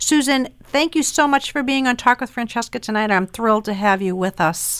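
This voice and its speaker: Speaking with an American accent, a woman has a fairly high pitch, lively intonation and a moderate pace, on a very clean, dry, close recording with a silent background and no echo. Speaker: podcast host. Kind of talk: interview.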